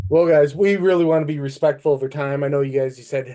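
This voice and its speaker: With a Midwestern accent, a man rattles along at a very fast pace, his fairly high-pitched voice dark and mellow in tone, with fairly even intonation. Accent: Midwestern, noticeable. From Michigan, near Flint. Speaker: podcast co-host. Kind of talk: casual interview chat.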